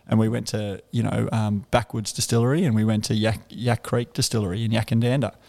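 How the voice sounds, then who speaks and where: A man's dark, mellow voice at medium pitch, with a strong Australian accent, at a fairly quick pace, on a very clean recording with a silent background. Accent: broad Australian. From Canberra, Australia. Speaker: bar owner. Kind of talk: casual interview chat. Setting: in a bar, on location.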